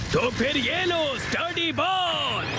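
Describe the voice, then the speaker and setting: Amid loud background noise, a man performs a cartoonish character voice. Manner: boastful.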